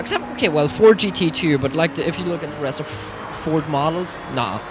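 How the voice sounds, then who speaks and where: A Swiss German accent over noticeable background noise. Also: woman. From Switzerland (Swiss German). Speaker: streamer. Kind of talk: live gameplay commentary. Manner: animated.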